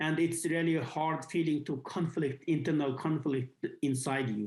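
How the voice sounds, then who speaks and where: The speaker has a Xinjiang accent. The pace is moderate. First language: Uyghur. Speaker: activist. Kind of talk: interview. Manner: halting, many fillers.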